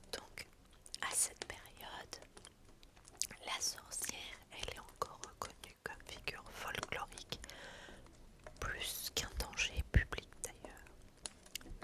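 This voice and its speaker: Over noticeable background noise, a woman whispers very slowly, with long, frequent pauses. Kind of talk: ASMR history narration. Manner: whispered, soft.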